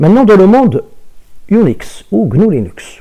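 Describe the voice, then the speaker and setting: A man's somewhat breathy voice with a dark, mellow tone and very wide pitch swings at a fairly slow pace. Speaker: university lecturer. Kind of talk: lecture. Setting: remote online class. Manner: halting, many repetitions and fillers.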